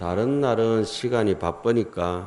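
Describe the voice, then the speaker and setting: A man speaks with a strong Gyeongsang accent at a fairly low pitch. His tone is dark and mellow, with ordinary pitch variation. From South Korea, Gyeongsang region. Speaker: Buddhist monk giving a dharma talk. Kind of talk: sermon. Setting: temple hall with audience. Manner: casual, conversational with dialect.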